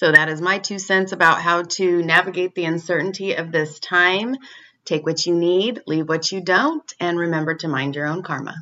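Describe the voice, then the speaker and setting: This woman has an unremarkable speaking voice, pitched fairly low, with fairly even intonation. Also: moderate pace. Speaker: professional musician. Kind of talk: recorded personal advice.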